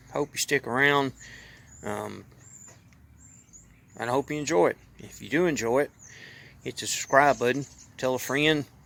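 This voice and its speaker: With a Southern US accent, a man speaks in a relaxed tone at a moderate pace, his intonation fairly even and his speech marked by long, frequent pauses. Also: medium pitch for a man. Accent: country Southern US. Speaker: YouTuber and hobby mechanic. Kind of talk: casual vlog talk. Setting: outdoors. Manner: relaxed, conversational.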